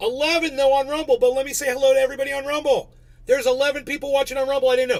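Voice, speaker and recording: A man with an extremely high voice speaks in an animated tone with ordinary pitch variation. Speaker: live streamer. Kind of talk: live stream commentary. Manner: loud. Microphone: distorting from yelling.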